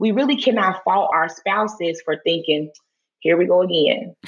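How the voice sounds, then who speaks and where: A moderate pace carries the speech. It comes in a plain, everyday voice. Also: woman. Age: 30s. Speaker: wedding business founder and marriage coach. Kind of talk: interview.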